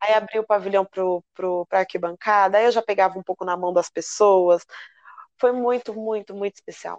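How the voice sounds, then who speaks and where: At a moderate pace, a woman with an ordinary speaking voice talks with fairly even intonation. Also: medium pitch for a woman. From São Paulo metro area (ABC region). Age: 30s. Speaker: samba school flag bearer. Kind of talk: interview.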